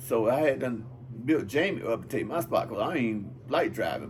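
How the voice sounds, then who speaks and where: Amid audible room echo and noticeable background noise, a man talks with ordinary pitch variation. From Georgia, US South. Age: 60s. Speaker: drag racer. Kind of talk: interview.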